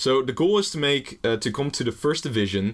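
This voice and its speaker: A man with a Dutch accent speaks at a moderate pace. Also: very clean recording, silent background. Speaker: gaming YouTuber. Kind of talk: gameplay commentary. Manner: casual, rambling with fillers.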